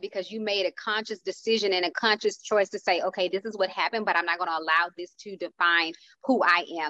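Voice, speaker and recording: A woman's bright, sharp tone with ordinary pitch variation in a dry, close sound with no echo. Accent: American. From Houston, Texas. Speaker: motivational speaker and speaker coach. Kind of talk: casual panel discussion.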